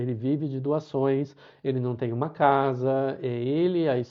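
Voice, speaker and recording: With a medium pitch, a man speaks using ordinary pitch variation. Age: 60s. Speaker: pilgrim sharing travel experience. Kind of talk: live talk to online audience. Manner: halting, many repetitions and fillers.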